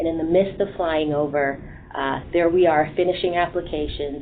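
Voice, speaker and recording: A woman speaks in a very deep, low voice at a moderate pace. Her intonation stays monotone and flat, with noticeable background noise. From Jamaica, moved to Boston at 11. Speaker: human resources executive. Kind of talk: panel talk.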